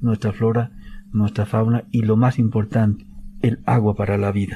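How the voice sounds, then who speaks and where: A man talks at a fairly slow pace with a medium pitch and fairly even intonation. His tone is dark and mellow, somewhat breathy. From Bolivia, Tupiza, Potosí. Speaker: government official, protected areas director. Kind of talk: radio interview. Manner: halting, many fillers.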